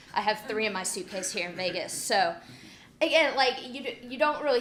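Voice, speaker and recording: There is audible room echo around this woman's voice. She speaks at a moderate pace. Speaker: security professional giving a conference talk. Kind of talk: conference talk. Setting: conference stage with audience. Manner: loud, with poorly controlled volume and pitch; blunt.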